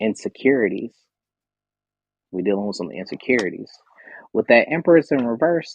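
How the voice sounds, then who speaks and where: Animated in tone, a man speaks with vocal fry, very wide pitch swings, and long, frequent pauses. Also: medium pitch for a man. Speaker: tarot reader and live show host. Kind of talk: live stream tarot reading. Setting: live stream with audience stage. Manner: fast.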